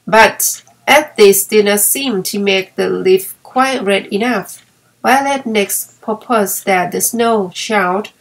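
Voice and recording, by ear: This is reading aloud in a natural voice with ordinary pitch variation.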